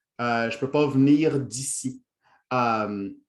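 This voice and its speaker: A man speaks with a Quebec accent. His pitch is medium and his intonation fairly even. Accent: Quebec French, formerly Franco-Ontarian. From Ontario, Franco-Ontarian (Toronto). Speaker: workshop trainer, lecturer. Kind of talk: lecture. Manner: hesitant, many fillers.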